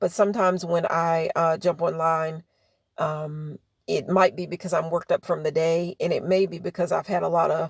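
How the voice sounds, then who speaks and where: A woman speaks with monotone, flat intonation at a fairly low pitch. The recording is very clean, with a silent background. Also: moderate pace, dry, close sound with no echo. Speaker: livestreamer. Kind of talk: casual live stream chat. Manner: hesitant, many fillers.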